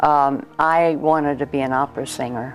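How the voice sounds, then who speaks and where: Over music in the background, a woman with an American accent and a very deep, low pitch speaks at a fairly slow pace with monotone, flat intonation. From San Diego, California. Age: 80s+. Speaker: former singer and devotee. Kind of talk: interview answer. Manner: reminiscing, hesitant.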